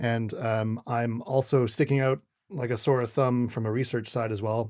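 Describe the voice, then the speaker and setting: With a Canadian accent, a man talks at a moderate pace in a plain, everyday voice, his intonation fairly even. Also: medium pitch for a man. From Western Canada. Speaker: paleontologist and lecturer. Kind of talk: casual interview.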